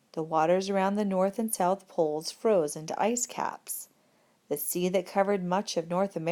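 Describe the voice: The text is simply read aloud in a plain way.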